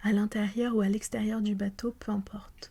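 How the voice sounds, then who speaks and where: Speaking at a fairly slow pace, the voice is soft-spoken. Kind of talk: audiobook reading, ASMR-style.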